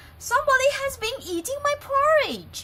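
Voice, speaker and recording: A put-on character voice with a squeaky sound. It moves at a moderate pace. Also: woman, extremely high pitch for a woman. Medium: read story.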